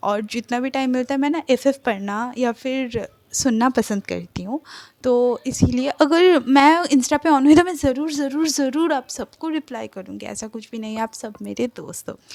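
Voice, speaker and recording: Spoken with a Bengali accent and ordinary pitch variation, the voice runs on with hardly any pauses in a dry, close sound with no echo. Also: woman, high pitch for a woman. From Kolkata, India. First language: Bengali (speaking Hindi). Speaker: fan fiction narrator YouTuber. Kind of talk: casual vlog talk to viewers.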